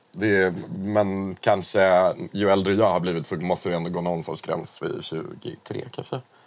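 This man's very deep, low voice keeps a fairly even intonation. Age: 30s. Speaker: podcast co-host. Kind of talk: casual chat.

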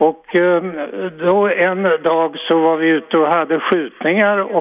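A man with a high pitch speaks at a fairly slow pace, keeping his intonation fairly even. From Sweden, Örebro. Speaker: caller. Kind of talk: phone-in storytelling. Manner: halting.

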